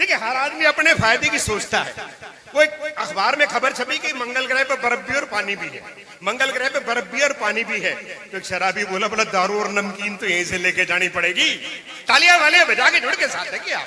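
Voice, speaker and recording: A man's extremely high, raised and projected voice, lively in intonation and animated in tone, at a moderate pace amid noticeable background noise. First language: Punjabi (speaking Hindi). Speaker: comic poet. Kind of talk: stand-up. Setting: stage with audience.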